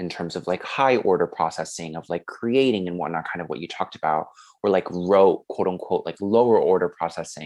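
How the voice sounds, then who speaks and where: Very deep and low, a man's voice moves at a moderate pace with ordinary pitch variation. The background is quiet. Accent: Korean. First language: Korean. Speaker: podcast host, education student. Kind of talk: podcast discussion.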